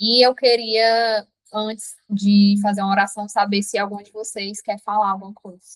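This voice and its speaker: A woman speaks in monotone, flat intonation at medium pitch and a moderate pace, her loudness swinging widely. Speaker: app founder and devotional leader. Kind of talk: testimony and devotional talk in a live stream. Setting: live online meeting with chat.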